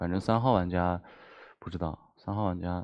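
Against a quiet background, a man with a very deep, low pitch speaks in a fairly even intonation. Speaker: game player. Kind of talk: game discussion. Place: studio. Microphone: headset.

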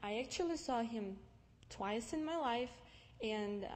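The pace here is fairly slow. It belongs to a woman. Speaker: guest. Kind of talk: personal testimony talk. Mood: calm, reflective. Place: church.

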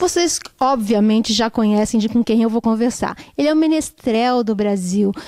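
Against a quiet background, a woman speaks with a fairly high pitch, a dark, mellow tone and very even loudness. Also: ordinary pitch variation, moderate pace, dry sound with no echo. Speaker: interviewer. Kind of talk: casual interview. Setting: backstage. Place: hall. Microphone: handheld.

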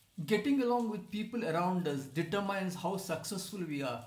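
There is audible room echo as a man talks at a moderate pace with a high pitch. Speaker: presenter. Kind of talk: course promotion talk.

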